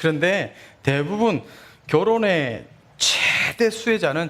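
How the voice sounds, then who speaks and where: A man with very wide pitch swings. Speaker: pastor. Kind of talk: sermon.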